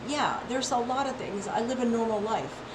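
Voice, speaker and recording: A high-pitched female voice amid noticeable background noise and audible room echo. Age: 60s. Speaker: health and wellness vlogger. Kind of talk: casual monologue. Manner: animated; repetitive, halting restarts.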